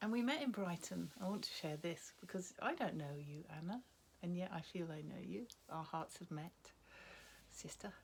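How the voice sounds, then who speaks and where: With lively intonation and some vocal fry, a woman speaks at a fairly low pitch and a moderate pace. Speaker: retreat attendee sharing personal story. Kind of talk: testimony. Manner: staccato; halting.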